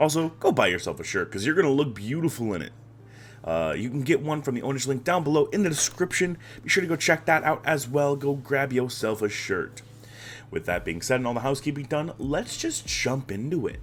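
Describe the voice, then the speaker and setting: A man talks at a fairly quick pace with vocal fry. His pitch is fairly high. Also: lively intonation. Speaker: esports league recap host. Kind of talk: solo recap commentary. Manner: casual, filler-heavy.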